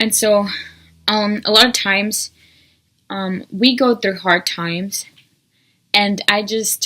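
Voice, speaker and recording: Speaking in a Spanish accent, a woman uses a medium pitch, fairly even intonation and a bright, sharp tone. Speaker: YouTuber. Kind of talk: casual vlog monologue. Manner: hesitant, many ums.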